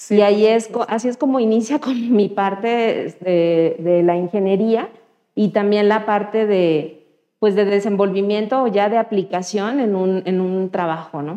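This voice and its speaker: Fairly slow delivery in an ordinary speaking voice, pitch varying in an ordinary way. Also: woman, medium pitch for a woman. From Mexico, Guerrero (Chilpancingo). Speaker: computer engineer, data science community organizer. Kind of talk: interview. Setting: studio.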